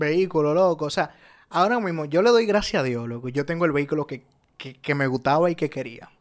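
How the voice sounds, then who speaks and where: With a Dominican accent, a man speaks at a fairly quick pace. His pitch is fairly high and his intonation lively. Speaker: podcast host. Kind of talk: casual chat.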